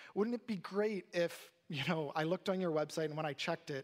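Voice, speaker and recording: This man has a high-pitched voice with ordinary pitch variation. He speaks at a moderate pace. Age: 30s. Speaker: pastor. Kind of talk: sermon.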